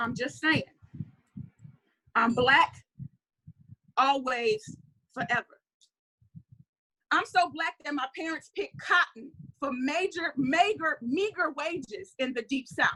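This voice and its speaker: A woman speaks in a raised, projected voice, high-pitched with a bright, sharp tone and lively intonation. She goes very slowly, with long, frequent pauses. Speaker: spoken word poet. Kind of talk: spoken word poetry performance. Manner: fiery, compelling.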